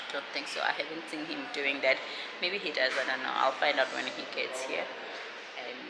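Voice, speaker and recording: Loud background noise sits under a woman talking at a moderate pace. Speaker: vlogger. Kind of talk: casual vlog chat. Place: hall. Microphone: phone near.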